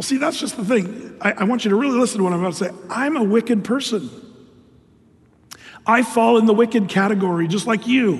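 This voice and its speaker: In a room with audible echo, a man speaks at a high pitch and fairly quick pace, his tone animated and his pitch variation ordinary. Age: old. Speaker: pastor. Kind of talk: sermon.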